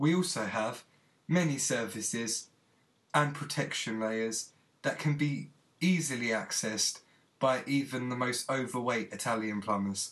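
A man at medium pitch with a fairly bright tone, fairly slow delivery, ordinary pitch variation and audible room echo

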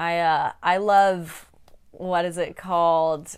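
Very slowly, a woman speaks with an American accent. The recording is very clean, with a silent background. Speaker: co-host. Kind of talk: casual banter.

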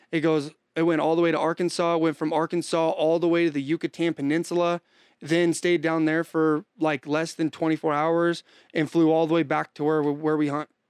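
The speech comes at a fairly quick pace in a monotone, flat intonation with very even loudness. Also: man, fairly high pitch for a man, dry, close sound with no echo. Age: 20s. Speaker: hunting guide. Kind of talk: casual chat.

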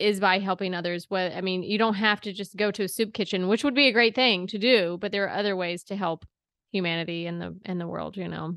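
In a plain, everyday voice, a woman speaks at a medium pitch and a fairly quick pace against a quiet background. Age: 30s. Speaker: podcast host. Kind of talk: casual chat.

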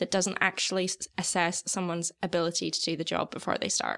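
A woman speaks in a plain, everyday voice with a North American accent. Her pitch is medium and her pace fairly quick. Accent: North American-sounding. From outside Australia, moved to Sydney in 2016. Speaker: graduate recruiter. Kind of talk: casual chat.

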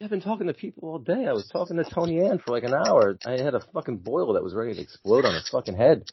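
In an American accent, a man races along at a very fast pace with hardly any pauses. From New Jersey. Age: 40s. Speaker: horror fan guest. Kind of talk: casual chat.

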